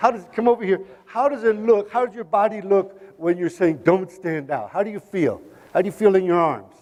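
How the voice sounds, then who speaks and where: A man with a Spanish accent speaks in an animated tone at a high pitch. His pace is fairly quick, and his pitch variation is ordinary. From US, Oakland, California. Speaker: motivational speaker. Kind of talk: keynote talk with audience interaction. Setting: stage with audience.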